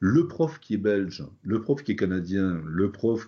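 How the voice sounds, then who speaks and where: Very slowly, a man speaks at a very deep, low pitch with ordinary pitch variation. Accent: slight Toulouse. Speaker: phonetics teacher, linguist. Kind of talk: interview. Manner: hesitant, many fillers.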